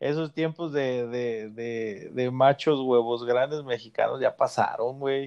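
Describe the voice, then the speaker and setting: A man's fairly even intonation stretches across his very slow delivery. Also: medium pitch for a man, hardly any pauses. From Mexico, rural Guanajuato. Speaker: podcast host, father. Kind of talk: casual chat.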